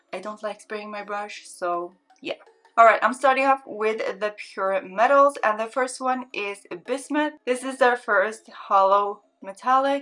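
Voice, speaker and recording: Bright and sharp in tone, a woman speaks with a non-native accent at a fairly high pitch, her pitch varying in an ordinary way. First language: not English. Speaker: beauty YouTuber. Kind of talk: makeup swatch tutorial. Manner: casual, repetitive, filler-heavy; enthusiastic.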